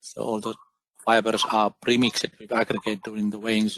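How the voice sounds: A man's fairly low, fairly bright voice, monotone and flat in intonation, at a moderate pace. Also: dry, close sound with no echo.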